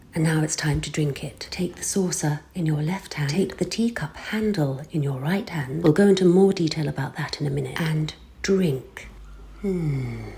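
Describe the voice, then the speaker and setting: Someone with a British accent speaks over noticeable background noise. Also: moderate pace. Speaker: voice-over artist. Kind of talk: humorous tutorial narration. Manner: dry, tongue-in-cheek.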